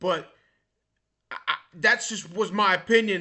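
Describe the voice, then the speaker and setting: Loud and animated, a man speaks in a high pitch. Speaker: vlogger. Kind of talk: casual monologue. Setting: recorded at a computer.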